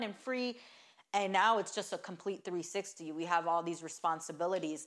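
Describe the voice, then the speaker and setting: A woman speaks at a fairly low pitch in a normal speaking voice. Her intonation is fairly even. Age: 20s. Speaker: business partner and wife of the host. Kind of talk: casual chat.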